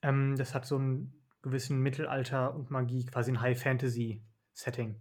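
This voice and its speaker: This man's voice is medium-pitched and somewhat breathy, with monotone, flat intonation. He goes at a moderate pace. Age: 20s. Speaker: doctor. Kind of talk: casual chat.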